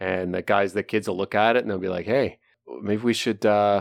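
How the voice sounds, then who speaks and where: A man with a plain, everyday voice, fairly low in pitch, at a fairly quick pace in a very clean recording with a silent background. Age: over 25. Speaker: sports betting analyst. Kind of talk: casual chat.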